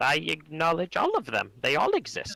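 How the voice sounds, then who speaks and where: Putting on a character voice, a man delivers his lines at a moderate pace. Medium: actual play. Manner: short, plain sentences.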